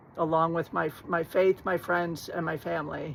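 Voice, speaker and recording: This woman has a plain, everyday voice pitched fairly low. She speaks at a fairly slow pace. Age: 60s. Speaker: vlogger. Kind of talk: personal story monologue.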